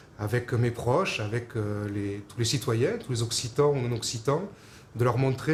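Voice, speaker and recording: A man talks fairly slowly in a somewhat breathy voice, with ordinary pitch variation. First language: Occitan (speaking French). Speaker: Occitan culture advocate. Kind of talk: personal testimony to camera. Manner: halting, many hesitations.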